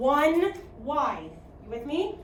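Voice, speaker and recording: A woman speaks in a high pitch with an American accent. Audible room echo surrounds her voice. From US Midwest, Chicago. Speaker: math teacher. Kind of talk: classroom lecture. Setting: classroom.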